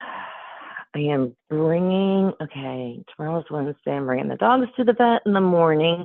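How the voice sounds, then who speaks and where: A woman with an American accent and a fairly low pitch at a fairly slow pace, with very wide pitch swings. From upstate New York. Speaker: job candidate. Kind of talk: job interview phone call. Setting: phone call.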